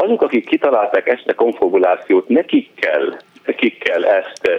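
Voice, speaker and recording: A man at a very slow pace. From northern Lebanon. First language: Arabic (speaking Hungarian). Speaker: physician. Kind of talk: radio interview.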